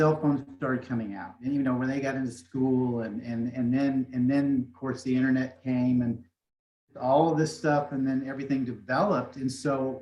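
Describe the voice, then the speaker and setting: A man speaks in a medium pitch. His pace is moderate. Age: 60s. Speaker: motivational speaker. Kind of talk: interview. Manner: soft-spoken; halting.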